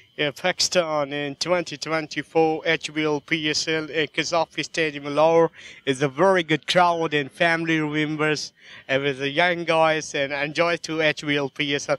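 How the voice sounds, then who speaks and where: A man speaks in a bright, sharp tone with fairly high pitch and a flat, monotone delivery. The sound is dry and close with no echo, over a quiet background. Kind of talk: cricket commentary.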